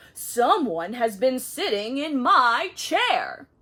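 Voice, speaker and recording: A female-sounding voice growls in a put-on character voice with a high pitch. The pace is very slow. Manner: growling.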